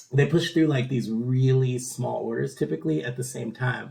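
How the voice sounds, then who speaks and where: Somewhat breathy, a man at a medium pitch speaks at a fairly slow pace. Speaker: stock trading video creator. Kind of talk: casual tutorial. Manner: halting, many filler words.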